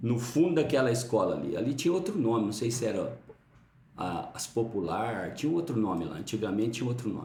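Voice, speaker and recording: A man talks at a fairly quick pace with very wide pitch swings, over noticeable background noise and audible room echo. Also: medium pitch for a man. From Brazil, Uberlândia, Minas Gerais. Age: 50s. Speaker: pastor. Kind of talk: interview, life story. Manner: halting.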